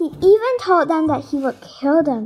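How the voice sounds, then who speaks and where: A woman's extremely high voice with very wide pitch swings, set against music in the background. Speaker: story narrator. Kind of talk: children's Bible story narration.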